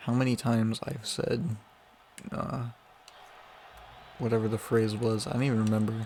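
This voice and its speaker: Quietly, a man talks at a moderate pace with fairly even intonation. He leaves long, frequent pauses. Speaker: gaming youtuber. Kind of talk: casual gameplay commentary. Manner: quieter later on.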